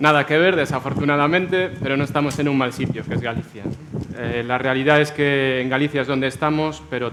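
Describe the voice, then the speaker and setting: The speaker moves at a fairly quick pace with fairly even intonation. Noticeable background noise runs behind the voice. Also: man. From Almería, southern Spain. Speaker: logistics company director, panelist. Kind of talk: panel discussion.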